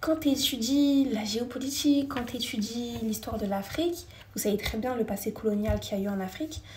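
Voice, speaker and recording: A woman is speaking. Her intonation is lively. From France. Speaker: live streamer. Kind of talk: casual live chat with viewers. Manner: fast.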